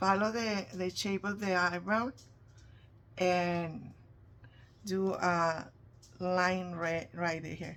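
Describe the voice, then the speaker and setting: Very slow speech in a Spanish accent, with long, frequent pauses and fairly even intonation. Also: woman, medium pitch for a woman. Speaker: face painter. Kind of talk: tutorial. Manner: casual, halting.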